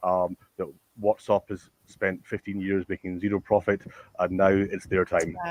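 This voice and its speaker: A man with a Scottish accent speaks at a moderate pace, his fairly low voice monotone and flat. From Scotland. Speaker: tech company founder. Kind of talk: panel discussion. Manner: halting, stammering.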